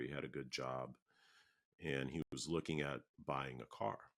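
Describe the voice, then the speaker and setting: Speaking at a moderate pace with an American accent, this voice carries fairly even intonation and some vocal fry. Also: man. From Minneapolis, Minnesota. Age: 60s. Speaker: oral history interviewee. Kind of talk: oral history interview. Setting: video call. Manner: hesitant, with fillers.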